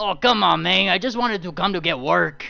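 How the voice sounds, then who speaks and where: Putting on a character voice, a man speaks at a fairly quick pace. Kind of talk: casual complaining. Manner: silly, whiny.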